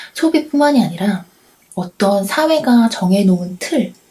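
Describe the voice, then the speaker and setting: A soft-spoken woman talks in a calm, gentle tone. Her fairly high voice has lively intonation. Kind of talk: late-night radio-style chat, ASMR talk to camera. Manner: calm, soft-spoken, gentle.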